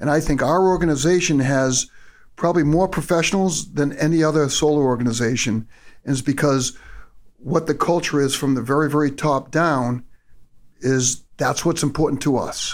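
A man with a New England accent at a fairly high pitch, moderate pace, fairly even intonation and very even loudness. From Massachusetts. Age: 50s. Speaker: solar company executive. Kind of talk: casual chat. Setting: office.

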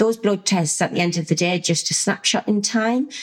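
A woman with a British accent speaks at a moderate pace. Her medium pitch shows ordinary variation. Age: 40s. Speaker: podcast host, lifestyle coach. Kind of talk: solo podcast monologue.

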